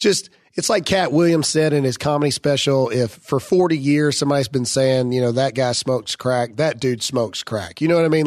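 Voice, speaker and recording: There is noticeable background noise as a man speaks with a fairly high pitch and ordinary pitch variation. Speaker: podcast host. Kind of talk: casual chat. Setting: studio. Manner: loud.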